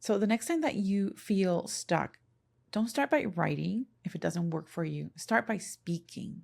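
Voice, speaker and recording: A woman with a Spanish accent speaks in a somewhat breathy voice with lively intonation, on a very clean recording with a silent background. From Puerto Rico. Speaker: podcast and content creation coach. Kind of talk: solo podcast talk. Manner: conversational.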